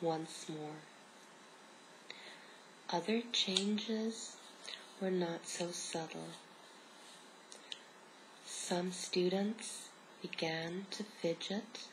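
A woman speaks at a very slow pace with long, frequent pauses and fairly even intonation. Light background noise can be heard. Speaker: ASMR reader. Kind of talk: soft reading aloud. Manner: soft whispered ASMR storytelling. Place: home room. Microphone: phone near.

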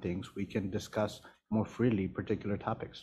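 A man with an American accent, his tone dark and mellow, somewhat breathy, over light background noise. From Washington DC. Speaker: village manager; council member or official. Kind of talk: council meeting discussion. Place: meeting room. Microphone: podium.

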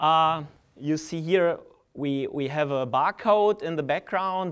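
In a quiet background, a man speaks at a fairly slow pace with ordinary pitch variation. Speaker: conference presenter. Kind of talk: lecture. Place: hall. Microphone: podium.

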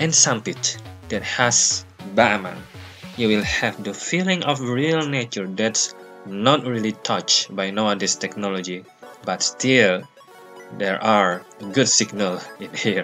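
Faint music plays behind a man who talks at a fairly slow pace in a fairly low pitch, with long, frequent pauses. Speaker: travel vlogger. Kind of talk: casual vlog chat. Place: waterside. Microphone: phone near.

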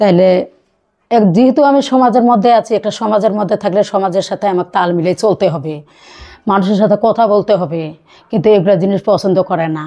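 A woman speaks in a dark, mellow tone with ordinary pitch variation. The background is quiet. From Bangladesh, Parbatipur (Dinajpur, north); Bangladesh. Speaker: divorced mother seeking remarriage; vlogger sharing personal story. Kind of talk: personal testimony interview. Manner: halting. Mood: earnest, emotional personal account. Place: home room. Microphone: phone near.

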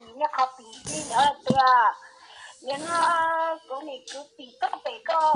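A woman's high-pitched voice at a very slow pace, with big swings in loudness and noticeable background noise. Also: ordinary pitch variation. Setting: phone call.

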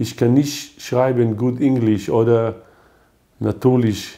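In a quiet setting, a man with a medium pitch speaks at a very slow pace. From Israel, Haifa. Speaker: poet. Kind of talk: poetry reading. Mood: calm, reflective delivery. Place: home room.

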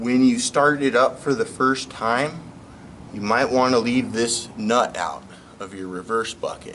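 Over light background noise, a man talks at a fairly slow pace. His pitch varies in an ordinary way. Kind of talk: tutorial. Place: garage.

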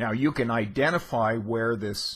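With fairly even intonation, the words come out at a very slow pace. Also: man. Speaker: literature teacher. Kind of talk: lecture. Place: home room. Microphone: studio mic.

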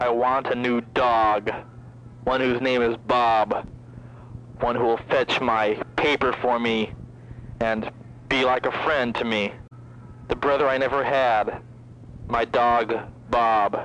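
A man's monotone, flat delivery at a very slow pace, with long, frequent pauses, very even loudness, and a dry sound with no echo. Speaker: caller. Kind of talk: comedic phone message rambling. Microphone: phone line.

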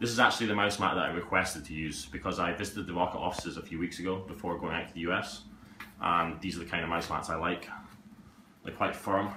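Over light background noise and audible room echo, a man talks at a very fast pace. His pitch is very deep and low, and his intonation fairly even. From Scotland. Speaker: YouTuber, gaming streamer; gaming channel host. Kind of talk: unboxing video. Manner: casual, hesitant with fillers. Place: home room.

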